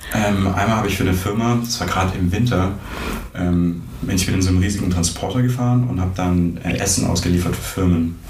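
Very deep and low in pitch, a man talks at a very fast pace with fairly even intonation and very even loudness. Audible room echo and noticeable background noise surround him. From Swabia, southwest Germany (near Stuttgart). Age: 20s. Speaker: computer science master's student. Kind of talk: casual interview chat. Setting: in person, sitting across from host.

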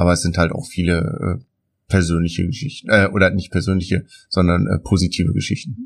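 The speech comes at a fairly quick pace and is somewhat breathy. Pitch varies in an ordinary way. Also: man, very deep, low pitch for a man. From Germany, Aalen area. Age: 30s. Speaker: helicopter company owner. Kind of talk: interview. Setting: on location at his company. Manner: hesitant, many fillers.

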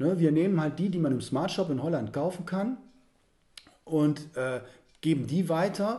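A man with a dark, mellow tone and fairly high pitch talks at a fairly slow pace, with ordinary pitch variation and long, frequent pauses. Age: 30s. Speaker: organiser of psychedelic spiritual retreat weekends. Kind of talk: interview.

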